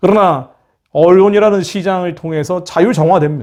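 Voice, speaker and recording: This man's voice is high in pitch with a dark, mellow tone. He keeps a moderate pace and ordinary pitch variation. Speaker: missionary ministry leader and commentator. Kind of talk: political and religious commentary monologue. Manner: impassioned.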